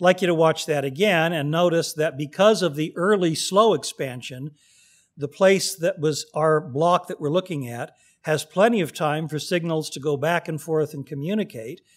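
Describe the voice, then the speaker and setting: A man with an American accent and a plain, everyday voice speaks at a fairly high pitch and moderate pace with ordinary pitch variation, on a very clean recording with a silent background. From California, Pasadena. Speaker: astrophysicist. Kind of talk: lecture.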